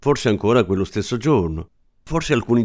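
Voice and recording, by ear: The intonation here is lively. The speaker is reading aloud in a natural voice.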